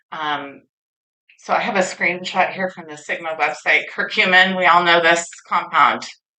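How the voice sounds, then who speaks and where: A woman with a bright, sharp tone speaks at a moderate pace, with audible room echo. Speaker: industry speaker at a conference. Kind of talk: conference presentation. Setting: stage with audience. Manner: animated.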